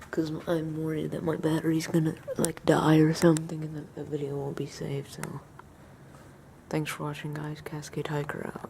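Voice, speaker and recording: Quiet and set against noticeable background noise, a woman's very deep, low voice stays monotone and flat in intonation while its loudness swings widely. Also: moderate pace. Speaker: outdoor vlogger. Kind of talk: casual vlog narration. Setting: outdoors at night in a thunderstorm. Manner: quiet, hushed.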